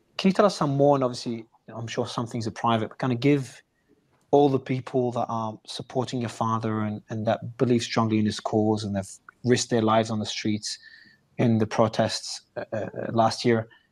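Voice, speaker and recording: A man speaks at a fairly quick pace and a medium pitch, with fairly even intonation. His long, frequent pauses stand out in a very clean recording with a silent background. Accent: Australian. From Australia. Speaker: interviewer. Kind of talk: interview.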